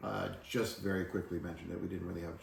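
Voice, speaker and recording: A man with a very deep, low pitch talks at a very fast pace in a monotone, flat way. His voice is somewhat breathy, and room echo is audible. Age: 40s. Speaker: podcast co-host, adult son. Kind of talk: casual chat. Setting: family cottage.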